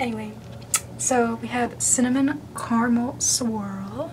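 Noticeable background noise is present. The voice belongs to a woman. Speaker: YouTuber. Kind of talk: comedic parody ASMR video. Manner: whispered. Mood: jokey, self-mocking. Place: bathroom. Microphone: phone near.

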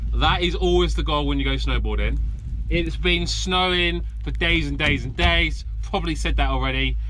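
There is clear background noise as a man talks at a moderate pace with a fairly high pitch.

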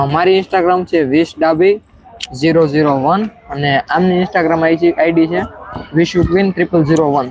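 Over noticeable background noise, a man talks at a high pitch with very even loudness and fairly even intonation. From Saurashtra, Gujarat (Gir area). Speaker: vlogger. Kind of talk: live stream chat.

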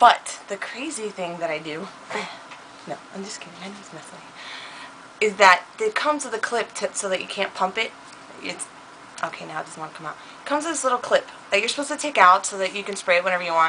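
Over light background noise, a woman talks at a very fast pace with lively intonation. Her loudness swings widely. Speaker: beauty vlogger. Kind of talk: casual chat. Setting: home recording. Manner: animated. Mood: playful, joking. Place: home room. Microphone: webcam.

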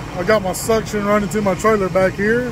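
Against noticeable background noise, a man with a high pitch talks at a fairly quick pace with fairly even intonation, the sound dry with no echo. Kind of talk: casual vlog chat. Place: open country. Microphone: headset.

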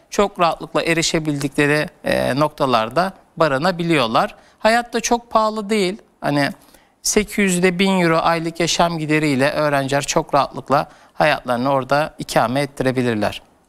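Lively intonation and very even loudness mark this man's fairly high-pitched voice at a moderate pace. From Turkey. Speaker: education consultant; guest. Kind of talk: TV interview. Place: studio.

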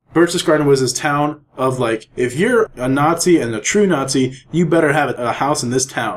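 A plain, everyday voice speaks at a moderate pace with ordinary pitch variation and hardly any pauses. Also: man, fairly high pitch for a man. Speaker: podcast co-host. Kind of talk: casual chat.

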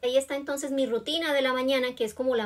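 A woman talking at a very fast pace. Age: 40s. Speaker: beauty vlogger. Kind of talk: tutorial. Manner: casual and friendly. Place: home room. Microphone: phone near.

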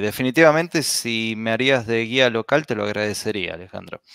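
A man speaks at a very fast pace, the sound dry and close with no echo on a very clean recording with a silent background. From Argentina, Buenos Aires. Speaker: blogger, podcast guest. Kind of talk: casual chat.

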